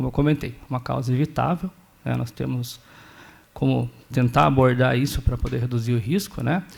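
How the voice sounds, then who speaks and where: The speaker has a São Paulo interior accent. Long pauses come often. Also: man, moderate pace. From Brazil, interior of São Paulo state (Sorocaba). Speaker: doctoral researcher in epilepsy. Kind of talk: conference talk.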